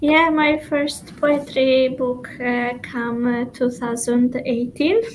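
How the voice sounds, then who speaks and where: A woman's high-pitched voice with an Albanian accent, very slow pace and fairly even intonation, over noticeable background noise. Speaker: poet. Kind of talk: interview. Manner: halting.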